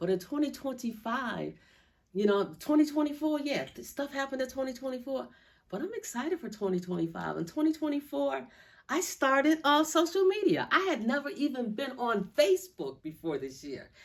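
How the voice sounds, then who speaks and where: A woman talks at a fairly quick pace in a high pitch. Her tone is animated, with very wide pitch swings. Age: 60s. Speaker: vlogger. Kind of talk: casual vlog monologue.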